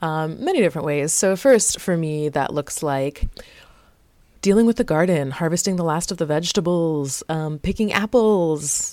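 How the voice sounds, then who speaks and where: With an American accent, a woman speaks at a fairly low pitch in a dark, mellow tone, her pitch varying in an ordinary way. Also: moderate pace. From South Florida. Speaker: podcast host and textile artist. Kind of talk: casual solo podcast talk.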